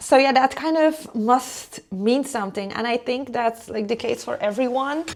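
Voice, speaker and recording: Through noticeable background noise, a woman with a non-native accent and a high pitch speaks at a moderate pace with ordinary pitch variation and hardly any pauses. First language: not English. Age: 30s. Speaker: lifestyle vlogger. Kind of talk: casual chat while cooking.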